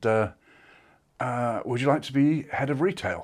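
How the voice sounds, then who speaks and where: A man with an English accent talks at a moderate pace with ordinary pitch variation. The recording is very clean, with a silent background. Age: 60s. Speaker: former retail executive. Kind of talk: interview. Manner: hesitant, many fillers.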